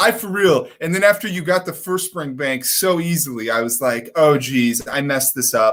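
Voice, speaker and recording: Loud and at a moderate pace, a man with an American accent talks in a high pitch with lively intonation. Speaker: hearing care practitioner. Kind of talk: live stream whisky tasting chat. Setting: own office.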